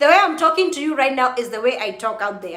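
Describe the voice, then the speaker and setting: A woman's high-pitched, animated voice. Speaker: YouTuber live streaming to viewers. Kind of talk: casual live-stream chat. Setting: live video stream at midnight. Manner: animated, chatty.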